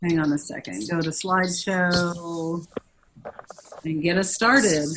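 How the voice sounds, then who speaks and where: The speaker moves at a very slow pace, with long, frequent pauses. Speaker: education official leading advisory meeting. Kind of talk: online meeting presentation. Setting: video call; office. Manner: loud.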